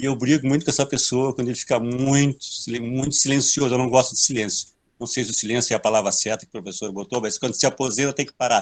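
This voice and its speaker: A man with a medium-pitched voice talks at a very fast pace against a quiet background. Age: 60s. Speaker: elderly audience member. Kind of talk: audience question.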